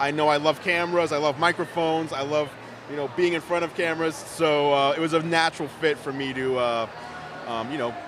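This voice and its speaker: A man speaks at a fairly quick pace with a fairly high pitch. Noticeable background noise sits behind him. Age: 30s. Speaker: tech YouTuber and website owner. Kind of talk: interview. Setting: live event, convention floor. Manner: louder than usual, animated.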